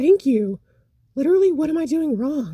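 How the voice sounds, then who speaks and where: In a put-on character voice, a woman speaks high in pitch with very wide pitch swings at a moderate pace. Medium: read story.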